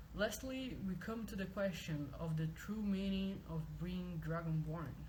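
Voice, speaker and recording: Someone with a non-native accent speaks at a fairly slow pace against noticeable background noise. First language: not English. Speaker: video game lore reader. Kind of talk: reading aloud. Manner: halting, repeats words.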